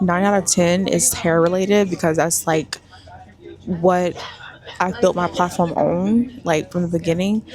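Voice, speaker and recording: Over noticeable background noise, a woman talks at a fairly slow pace in a fairly low voice, with ordinary pitch variation and very even loudness. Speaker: lifestyle and hair influencer vlogger. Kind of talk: casual vlog to camera. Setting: on a bus, then at an event.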